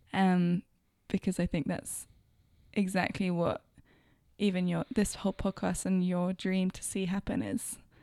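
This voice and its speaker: A woman with a London accent speaks at a fairly slow pace with long, frequent pauses, her medium-pitched voice dark and mellow with fairly even intonation, in a very clean, dry, close recording with a silent background and no echo. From London, England. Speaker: interviewer and friend of host. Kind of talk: casual interview chat.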